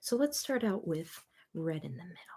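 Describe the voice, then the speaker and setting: A soft-spoken woman with a dark, mellow tone, somewhat breathy. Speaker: coloring book artist. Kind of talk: casual tutorial talk to camera. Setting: home studio, mic recording.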